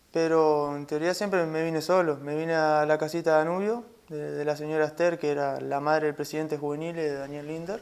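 Here a man talks at a fairly quick pace. He leaves hardly any pauses. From Uruguay (Salto); Uruguay. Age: 20s. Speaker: footballer; interviewee. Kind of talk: interview. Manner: halting. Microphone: lapel.

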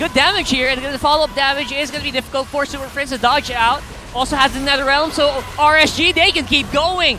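An animated voice talks at a fairly quick clip over noticeable background noise. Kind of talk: esports commentary. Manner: animated, rapid-fire play-by-play; excitable, exclamatory.

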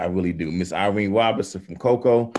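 A man speaks with a fairly low pitch and a slightly mellow tone. His intonation stays fairly even.

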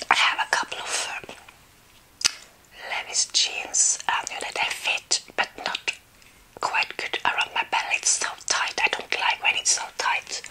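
A woman whispers, soft-spoken. Light background noise can be heard. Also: fairly slow pace. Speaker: ASMR creator. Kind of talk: casual vlog chat. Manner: soft close ASMR whisper while eating. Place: home room.

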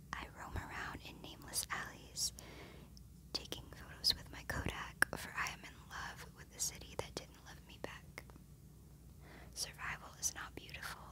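A woman is whispering at a moderate pace. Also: big swings in loudness. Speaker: ASMR creator. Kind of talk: ASMR poetry reading. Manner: whispered, soft-spoken. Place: home room. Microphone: phone near.

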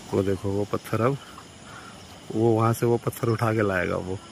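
Vocal fry runs through the voice. Faint background noise can be heard. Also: man, fairly low pitch for a man, fairly even intonation, moderate pace.

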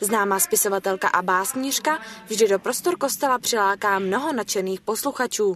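Music plays behind a woman speaking at a medium pitch. Her intonation is lively. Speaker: regional TV reporter. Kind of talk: TV news report narration.

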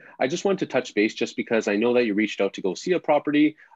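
Very fast pace from a man, dry sound with no echo, quiet background. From Ontario, Canada (Pickering); Ontario, Canada. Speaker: real estate agent; real estate agent demonstrating lead dialing. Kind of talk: live webinar demo; casual tutorial chat. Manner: casual, filler-heavy. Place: home room. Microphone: webcam.

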